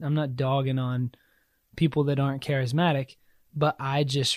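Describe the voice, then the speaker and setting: A man's normal speaking voice, medium in pitch, at a moderate pace, dry and close with no echo in a very clean recording with a silent background. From US South, South Carolina. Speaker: church member sharing faith story. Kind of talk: testimony.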